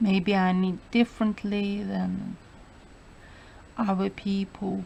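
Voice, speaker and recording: A woman with a medium-pitched, somewhat breathy voice speaks at a very slow pace. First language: not English. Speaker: knitting instructor. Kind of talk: tutorial. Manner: hesitant, many fillers.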